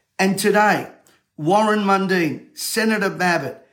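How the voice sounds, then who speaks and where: Speaking in an Australian accent, a man with a high voice keeps a moderate pace and fairly even intonation. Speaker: motivational speaker and event promoter. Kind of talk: urgent livestream call-to-action rallying viewers to register. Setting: studio. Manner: urgent, insistent exhortation.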